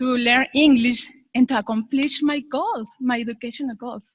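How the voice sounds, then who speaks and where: A woman talks in a high voice with fairly even intonation. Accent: Spanish. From Mexico. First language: Spanish. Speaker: graduate. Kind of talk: graduation speech.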